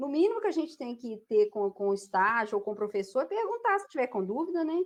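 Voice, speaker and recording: At a very fast pace, a woman talks in a high pitch with very wide pitch swings. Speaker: radiology teacher. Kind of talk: online class. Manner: energetic.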